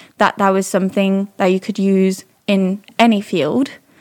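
A woman speaks at a moderate pace with a slight British accent, in a very clean recording with a silent background. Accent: slight British-tinged English. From France, Paris. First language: French. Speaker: data scientist and consultant. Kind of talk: interview.

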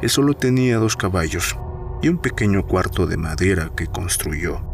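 Music plays in the background as a man talks at a moderate pace. His fairly low voice moves through very wide pitch swings. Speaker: podcast storyteller reading a fictional psychiatrist's case story. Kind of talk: scripted ghost story narration, first-person horror tale.

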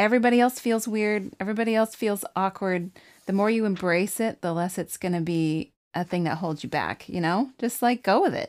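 A plain, everyday voice with an American accent, fairly quick, with ordinary pitch variation, on a very clean recording with a silent background. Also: woman, medium pitch for a woman. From grew up partly in Africa, then Arizona. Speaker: birth doula and podcast co-host. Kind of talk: casual chat.

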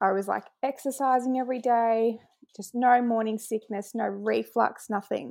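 Speaking at a moderate pace with an Australian accent, a woman's fairly high voice comes through on a very clean recording with a silent background. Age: 20s. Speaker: mother expecting triplets. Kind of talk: casual interview.

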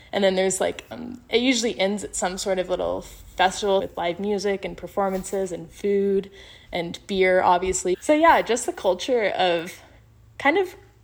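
A woman with an American accent has an ordinary speaking voice. Her medium pitch shows ordinary variation at a moderate pace. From Colorado, US (Fort Collins). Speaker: university student and podcast editor. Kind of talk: interview.

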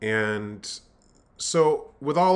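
A man is speaking. His intonation is lively. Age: 50s. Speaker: spiritual coach and minister. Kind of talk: solo podcast monologue. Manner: hesitant, many filler words.

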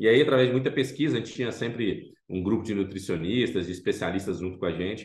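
A very fast, somewhat breathy man's voice, fairly low in pitch, with hardly any pauses and audible room echo. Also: lively intonation. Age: 40s. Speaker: food startup founder. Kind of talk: interview.

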